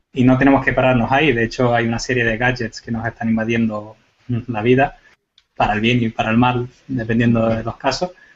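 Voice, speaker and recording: At a fairly quick pace, a man talks in a medium pitch with monotone, flat intonation. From Canary Islands. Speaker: computer forensics expert. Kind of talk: panel discussion.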